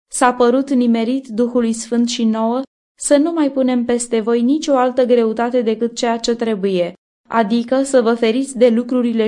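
A woman speaks with a fairly high pitch and a dark, mellow tone. Her pitch variation is ordinary.

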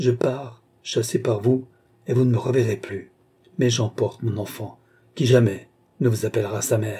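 A natural reading voice carries fairly even intonation.

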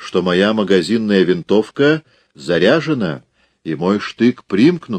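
Lively intonation marks an unforced reading voice. The background is quiet.

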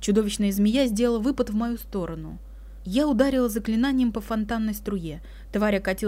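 Unforced reading, aloud

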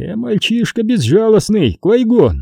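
Growling in a put-on character voice, a man speaks at a high pitch and a fairly slow pace, with very wide pitch swings, vocal fry and a slightly husky edge. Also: dry, close sound with no echo.

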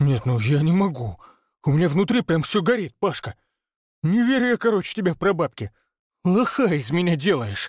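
In a put-on character voice pitched high for a man, he swings very widely in pitch with hissing, keeping very even loudness at a moderate pace with long, frequent pauses, on a very clean recording with a silent background. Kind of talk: colloquial, slangy. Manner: angry, hissing.

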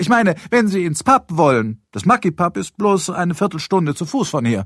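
A man does a put-on character voice with a high pitch, big pitch swings and a fairly bright tone at a moderate pace, in a very clean recording with a silent background.

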